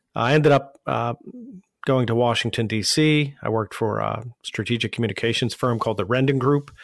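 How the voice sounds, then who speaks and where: A man with an American accent speaks fairly quickly at a medium pitch, his intonation fairly even. The recording is very clean, with a silent background. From Pittsburgh, Pennsylvania. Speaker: digital marketing agency founder. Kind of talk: interview. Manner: halting, many fillers.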